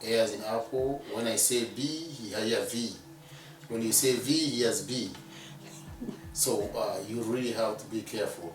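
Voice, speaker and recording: A man with a medium pitch speaks at a fairly slow pace, with long, frequent pauses and ordinary pitch variation. Music plays in the background, and room echo is audible. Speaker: immigrant sharing his life story. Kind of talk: interview testimony. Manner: slow, deliberate; halting.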